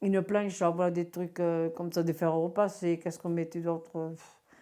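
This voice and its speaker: Recorded very cleanly against a silent background, a woman speaks in a fairly low voice. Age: 60s. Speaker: retired bingo caller. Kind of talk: interview testimony. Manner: clear speaking; animated, hesitant.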